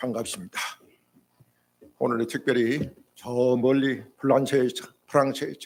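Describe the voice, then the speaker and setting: A man's medium-pitched, monotone, flat delivery at a moderate pace, broken by long, frequent pauses. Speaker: retired senior pastor. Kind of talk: sermon. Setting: church.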